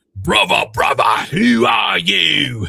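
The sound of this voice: Shouting in a put-on character voice, a man sounds raspy. His pitch sits fairly low.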